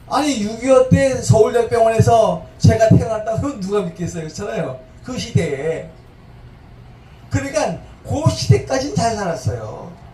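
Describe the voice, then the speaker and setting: Over noticeable background noise and audible room echo, a man with a high voice talks at a moderate pace, his pitch swinging very widely and his loudness rising and falling sharply. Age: 70s. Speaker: pastor. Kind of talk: sermon. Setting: church service.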